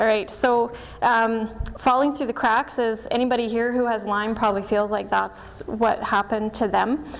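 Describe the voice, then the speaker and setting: There is noticeable background noise as a woman speaks at a moderate pace. Her fairly high voice has monotone, flat intonation. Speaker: doctor of Chinese medicine and acupuncturist. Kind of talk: presentation. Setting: stage with audience.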